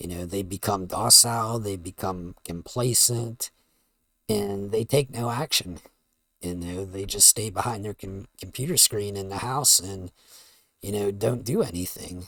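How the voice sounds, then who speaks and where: On a very clean recording with a silent background, a man speaks at a fairly slow pace in a fairly low pitch with a bright, sharp tone, ordinary pitch variation and big swings in loudness. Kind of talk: casual talk to camera, commentary stream. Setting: home USB mic.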